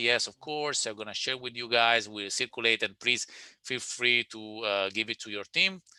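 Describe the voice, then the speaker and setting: Man with an Italian accent, a bright, sharp tone, ordinary pitch variation and a fairly quick pace, in a dry, close sound with no echo. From Italy. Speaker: webinar presenter, digital sales consultant. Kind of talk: webinar presentation and Q&A. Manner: halting with many repetitions.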